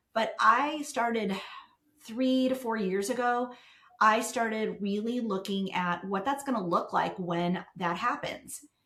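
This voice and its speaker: Audible room echo surrounds a woman whose fairly high voice moves at a fairly slow pace. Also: ordinary pitch variation. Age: 60s. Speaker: business founder, professional organizer. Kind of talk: podcast interview.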